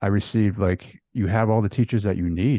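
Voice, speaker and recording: A man's voice has a dark, mellow tone at a fairly low pitch. The sound is dry and close with no echo, over a quiet background. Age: 30s. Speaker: podcast host. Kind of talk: casual chat. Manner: halting, many fillers.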